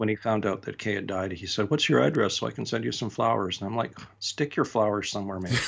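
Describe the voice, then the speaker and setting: Speaking with a Canadian accent, a man with a fairly low, fry-tinged voice rushes along at a very fast pace with lively intonation and hardly any pauses. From Western Canada. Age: 50s. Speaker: retired army chaplain, vicar. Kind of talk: interview. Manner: halting.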